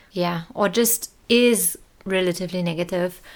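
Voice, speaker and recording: A woman with a German accent speaks at a fairly low pitch. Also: very clean recording, silent background. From Germany, small town and village. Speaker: podcast host. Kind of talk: solo podcast monologue. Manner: casual, with laughter.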